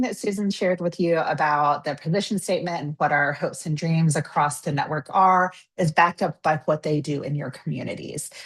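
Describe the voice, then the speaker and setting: A woman speaks at a fairly quick pace. Her voice is fairly low and somewhat breathy. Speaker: webinar presenter. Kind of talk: webinar presentation. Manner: fast.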